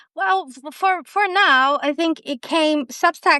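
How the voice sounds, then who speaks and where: Her voice raised and projected, a woman speaks with a bright, sharp tone in a dry, close sound with no echo. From Brazil. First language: Portuguese. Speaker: storyteller. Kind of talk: interview conversation.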